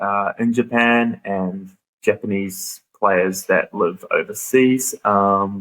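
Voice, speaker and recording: A man with a New Zealand accent, fairly low in pitch, with fairly even intonation and a very slow pace. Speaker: podcast host. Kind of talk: casual chat. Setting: classroom at a cricket ground.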